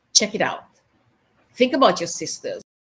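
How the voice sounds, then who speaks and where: A woman speaks in a somewhat breathy voice. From Caribbean. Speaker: women's leadership coach. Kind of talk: motivational livestream talk. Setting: live stream video.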